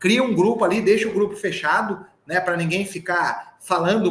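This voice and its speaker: An animated man at a moderate pace, his pitch high for a man. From southern Minas Gerais, Brazil. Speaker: sales trainer. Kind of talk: live online sales training.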